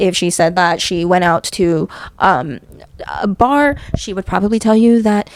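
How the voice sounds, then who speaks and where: The speaker is a soft-spoken woman. Her tone is relaxed. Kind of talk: scary story telling to camera. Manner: soft-spoken, relaxed, conversational.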